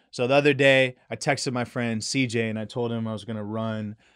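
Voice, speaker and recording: This is a man with an unremarkable speaking voice, medium in pitch, moving at a fairly quick pace with fairly even intonation. The recording is very clean with a silent background. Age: 30s. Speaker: realtor and aspiring yoga teacher. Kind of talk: casual chat.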